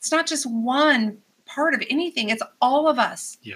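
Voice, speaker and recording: A woman speaks in a raised, projected voice at a fairly slow pace. Her high pitch carries a bright, sharp tone. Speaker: youth empowerment coach. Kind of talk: casual interview chat. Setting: studio. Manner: animated, loud, talkative.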